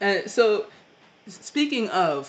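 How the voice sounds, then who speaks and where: This is a man speaking. He has an American accent. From Ohio. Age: 20s. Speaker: podcast host. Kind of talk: casual interview.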